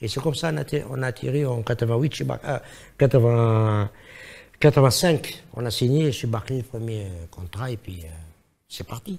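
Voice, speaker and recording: In a very clean recording with a silent background, a man with a non-native accent speaks at a moderate pace and a medium pitch, somewhat breathy. His intonation is lively, broken by long, frequent pauses. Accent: foreign accent in French. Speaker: singer and musician. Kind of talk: interview.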